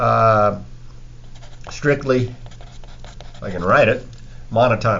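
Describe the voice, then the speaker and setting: A man talks at a fairly slow pace with long, frequent pauses and audible room echo. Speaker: math teacher. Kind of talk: lecture.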